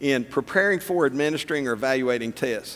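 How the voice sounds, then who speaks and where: A man with a Tennessee accent, fairly high pitch, ordinary pitch variation and a moderate pace. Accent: Southern US (Tennessee). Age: old. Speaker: political candidate. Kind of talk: candidate forum answers.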